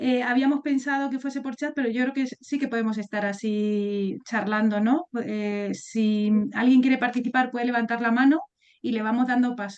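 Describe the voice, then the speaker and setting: A woman's high voice at a moderate pace with ordinary pitch variation. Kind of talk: webinar moderation. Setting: video call webinar.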